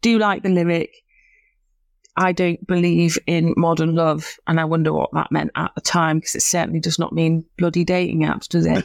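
A woman with a Lancashire accent and a fairly low pitch, dry and close with no echo, on a very clean recording with a silent background. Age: 30s. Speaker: podcast co-host. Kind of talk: casual chat.

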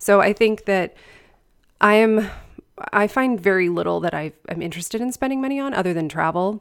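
A woman talks in a plain, everyday voice. Her pitch variation is ordinary. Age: 40s. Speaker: writing and book coach, podcast host. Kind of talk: casual interview.

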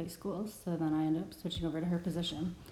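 With an American accent, a woman speaks in a fairly low, dark, mellow voice, her intonation monotone and flat amid audible room echo. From Wisconsin. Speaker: bilingual speech-language pathologist. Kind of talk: casual chat.

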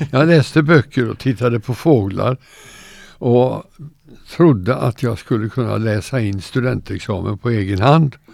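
Talking at a fairly slow pace, a man uses a medium-pitched voice with vocal fry and ordinary pitch variation. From Sweden, Gothenburg. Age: 90s. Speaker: retired teacher. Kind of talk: interview.

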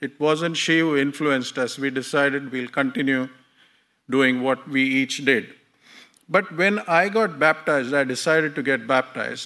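A man's fairly high, bright, sharp voice at a moderate pace, with ordinary pitch variation, in a very clean recording over a silent background. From India. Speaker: lay preacher. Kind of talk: sermon. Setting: church.

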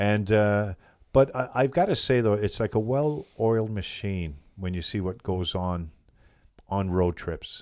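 A man with a Canadian accent has an unremarkable speaking voice, fairly low in pitch with ordinary variation. He speaks at a fairly slow pace on a very clean recording with a silent background. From New Brunswick, Canada (Bathurst). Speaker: team bus driver. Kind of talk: interview. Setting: studio.

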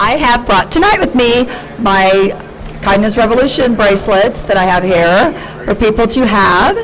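Over noticeable background noise, a woman talks in a fairly high pitch with ordinary pitch variation and very even loudness. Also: moderate pace. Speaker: podcast host, comedian. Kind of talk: casual chat. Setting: studio with co-hosts, live audience. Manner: rambling, halting.

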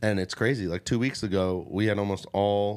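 On a very clean recording with a silent background, a man with a fairly low pitch speaks at a fairly quick pace in a monotone, flat intonation. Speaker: podcast host and comedian. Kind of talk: casual chat. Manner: casual, joking.

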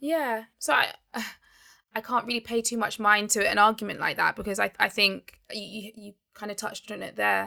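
In a London accent, a woman speaks at a moderate pace with a fairly high pitch, fairly even intonation and vocal fry. Her tone is bright and sharp. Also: big swings in loudness. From England (Barnet, north London), Nigerian heritage. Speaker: accountant, co-founder of a non-profit. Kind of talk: interview.

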